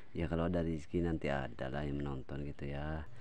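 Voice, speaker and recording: Amid audible room echo, a man with a very deep, low pitch keeps his intonation fairly even. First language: Sundanese (speaking Indonesian). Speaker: vlogger. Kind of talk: casual vlog narration. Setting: outdoors, rice fields near a river. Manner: casual, chatty.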